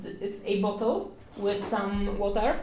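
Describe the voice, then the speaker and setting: A woman in a Polish accent at a fairly slow pace, with audible room echo. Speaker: art streamer. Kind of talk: painting livestream tutorial. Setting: livestream at home. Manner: hesitant, many fillers.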